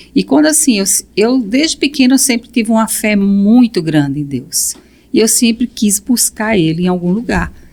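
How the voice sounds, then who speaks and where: A woman with an unremarkable speaking voice talks at a moderate pace, her medium pitch carried by lively intonation. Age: 60s. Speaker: guest. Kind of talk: testimony. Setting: podcast recording.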